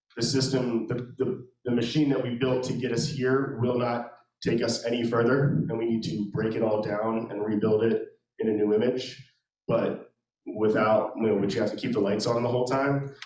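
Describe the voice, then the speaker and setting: There is audible room echo. The man's intonation is fairly even. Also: medium pitch for a man, moderate pace. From Maryland, Anne Arundel County. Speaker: real estate investor. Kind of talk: interview at a meetup. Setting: meetup with live audience. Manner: halting, many fillers.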